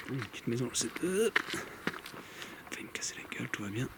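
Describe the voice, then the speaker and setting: There is noticeable background noise. Through it, a man whispers. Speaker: paranormal investigator youtuber. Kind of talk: solo vlog narration. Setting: outdoors. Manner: soft-spoken.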